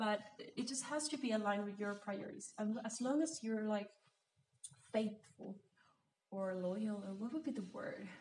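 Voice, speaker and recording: Somewhat breathy speech with a Spanish accent at a moderate pace. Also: woman. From Mexico. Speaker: podcast host. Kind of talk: solo talk on personal finance. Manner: animated.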